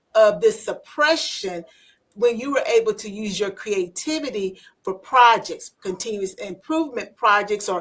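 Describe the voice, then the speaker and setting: An ordinary speaking voice, its intonation lively throughout. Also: woman. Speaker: podcast host. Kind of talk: podcast interview conversation.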